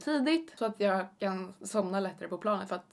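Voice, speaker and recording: Here a woman talks with lively intonation. Her pace is fairly quick. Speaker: vlogger. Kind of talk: casual vlog chat. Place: home room.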